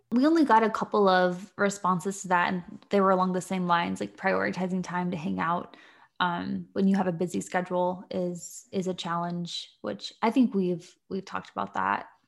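On a very clean recording with a silent background, a woman with an unremarkable speaking voice and medium pitch talks at a moderate pace with fairly even intonation. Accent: American. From Virginia, US. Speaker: podcast co-host. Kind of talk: casual chat.

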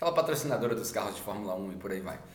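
A man with lively intonation, audible room echo and noticeable background noise. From Brazil. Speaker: podcaster. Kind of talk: casual monologue; sermon.

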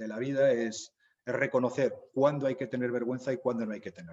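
A man speaks in a plain, everyday voice at a medium pitch. His pitch variation is ordinary. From Zaragoza, Aragon, Spain. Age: 50s. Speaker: novelist and humanitarian worker. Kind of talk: interview.

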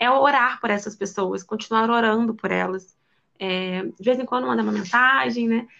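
Bright and sharp, a woman's fairly high voice carries a Rio de Janeiro accent, moving at a moderate pace with ordinary pitch variation. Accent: Brazilian Portuguese, carioca. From Rio de Janeiro, Brazil. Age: 20s. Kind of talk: casual chat.

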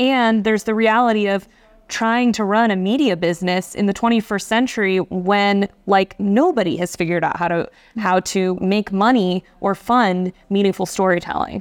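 Keeping very even loudness and fairly even intonation, a woman with a plain, everyday voice talks at a medium pitch and a moderate pace. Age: 30s. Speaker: journalist and magazine editor. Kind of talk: interview. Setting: conference.

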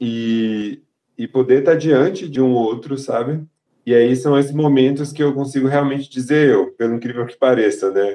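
A man's dark, mellow tone at a moderate pace, with fairly even intonation. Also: medium pitch for a man. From Salvador, Bahia, Brazil. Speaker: resident doctor. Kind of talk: casual chat.

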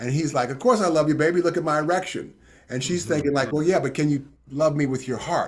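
A man's somewhat breathy voice at a very fast pace. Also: fairly high pitch for a man, ordinary pitch variation. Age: 60s. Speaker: tantra and intimacy teacher. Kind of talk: interview.

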